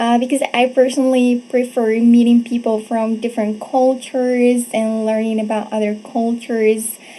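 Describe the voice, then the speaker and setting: Against noticeable background noise, a woman with a fairly high pitch speaks at a moderate pace in a flat monotone, hardly pausing. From Morocco, Casablanca. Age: 20s. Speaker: presenter, teacher. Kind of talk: presentation.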